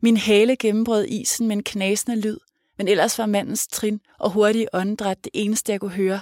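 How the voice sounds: The reading comes in a natural reading voice, with a quiet background behind it.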